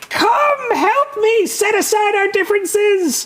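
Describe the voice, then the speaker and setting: A man uses a put-on character voice, extremely high-pitched and shrill. He speaks at a very slow pace. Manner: panicked, outraged, commanding.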